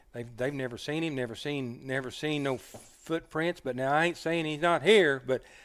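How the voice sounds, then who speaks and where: With an Oklahoma accent, a man speaks at a moderate pace. His pitch is fairly high, with ordinary variation. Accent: rural southern US (Oklahoma). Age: 60s. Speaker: hunter and dog man. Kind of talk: casual storytelling interview. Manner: halting, repeats words.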